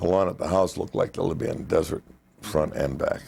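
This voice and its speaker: This man's voice sits very deep and low, with vocal fry running through it. He talks at a moderate pace with a Chicago accent. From North Side of Chicago. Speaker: retired union janitor and boiler fireman. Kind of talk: oral history interview answer.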